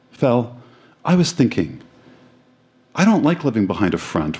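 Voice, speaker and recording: Vocal fry marks this man's speech as his pitch swings very widely. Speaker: live reader of old school essay. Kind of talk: spoken word, reading aloud then reflective chat. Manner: halting, reflective, slightly hesitant.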